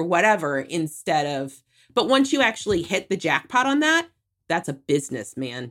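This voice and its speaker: A woman speaks at a moderate pace with very wide pitch swings. The recording is very clean, with a silent background. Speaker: digital marketing strategist. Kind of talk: casual interview chat. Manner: high energy.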